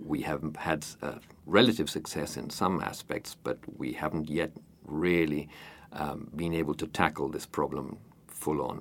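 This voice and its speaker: A man speaks at a fairly slow pace, his pitch very deep and low, with vocal fry. His pitch varies in an ordinary way. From Uruguay, Montevideo. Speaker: president of a community society. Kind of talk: interview. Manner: hesitant with fillers.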